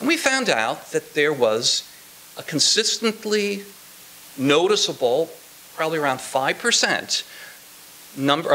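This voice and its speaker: A man speaks at a very slow pace with an American accent. Light background noise sits behind him. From Indiana, US Midwest. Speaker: sociology professor. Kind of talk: academic commentary. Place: classroom. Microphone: podium.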